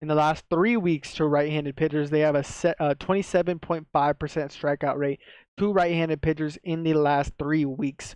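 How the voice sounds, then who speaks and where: Against a quiet background, a man speaks at a moderate pace in a fairly high, monotone, flat voice, the sound dry and close with no echo. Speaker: sports betting picks youtuber. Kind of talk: betting tips monologue. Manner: casual, with filler and self-corrections.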